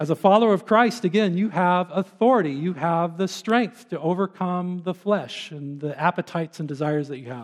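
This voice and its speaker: Against a quiet background, a man with a high pitch speaks at a fairly quick pace with hardly any pauses. His loudness swings widely, while his pitch varies in an ordinary way. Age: 50s. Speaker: pastor. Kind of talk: sermon.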